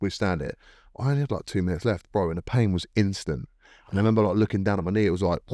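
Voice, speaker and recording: A man's very fast, fairly low, dark and mellow voice with ordinary pitch variation, dry and close with no echo, in a very clean recording with a silent background. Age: 30s. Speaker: MMA fighter. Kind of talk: casual chat. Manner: animated.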